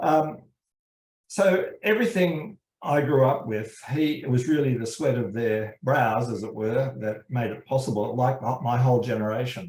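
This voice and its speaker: A man with an Australian accent, somewhat breathy, at a moderate pace with ordinary pitch variation. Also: medium pitch for a man. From Australia, suburban Sydney. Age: 70s. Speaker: criminology professor. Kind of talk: interview. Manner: halting, many fillers.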